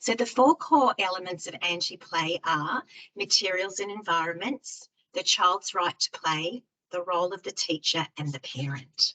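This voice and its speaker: A woman talks with an Australian accent in a bright, sharp tone at medium pitch. Her intonation is lively, and the sound is dry and close with no echo. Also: moderate pace. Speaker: early years education specialist. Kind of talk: online presentation. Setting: online webinar.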